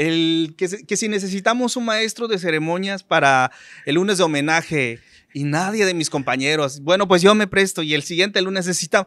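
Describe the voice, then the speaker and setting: A man talks at a moderate pace with a high pitch and ordinary pitch variation. His tone is bright and sharp. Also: very clean recording, silent background. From Maya community, Yucatán Peninsula, Mexico. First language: Yucatec Maya (speaking Spanish). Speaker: radio announcer. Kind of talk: interview. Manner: halting.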